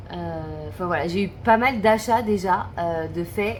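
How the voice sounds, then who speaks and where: Noticeable background noise behind a woman's fairly slow speech. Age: 30s. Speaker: budget vlogger. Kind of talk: casual talk to camera. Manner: hesitant, thinking aloud.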